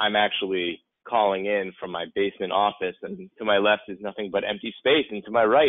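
A man talks at a fairly quick pace in a plain, everyday voice, fairly low in pitch with fairly even intonation. The sound is dry with no echo, and the background is quiet. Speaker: podcast host. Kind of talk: casual podcast banter. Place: home room.

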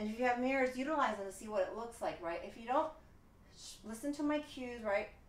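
A woman talks very fast in a high pitch with an upbeat tone, ordinary pitch variation and big swings in loudness, with audible room echo. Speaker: fitness instructor. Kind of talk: live-cued workout instruction with rapid countdowns. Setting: home studio, solo video workout. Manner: brisk, rhythmic counting cues; upbeat, encouraging coach. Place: home room. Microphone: camera far.

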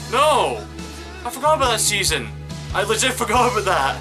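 Clear music sits in the background. A man speaks at a moderate speed over it. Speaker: reaction video host. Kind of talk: casual reaction commentary. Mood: sad but joking. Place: home room. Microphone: webcam.

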